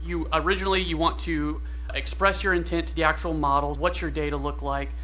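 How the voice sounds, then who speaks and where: A man with a very deep, low voice and an American accent speaks at a fairly quick pace, with audible room echo and noticeable background noise. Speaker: AI engineer giving a conference talk. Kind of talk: conference talk. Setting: stage with audience. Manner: fast; animated.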